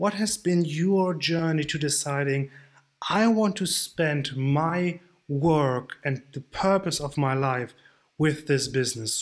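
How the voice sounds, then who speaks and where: A non-native accent at a very slow pace with ordinary pitch variation. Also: man. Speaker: online nutrition coach. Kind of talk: tutorial.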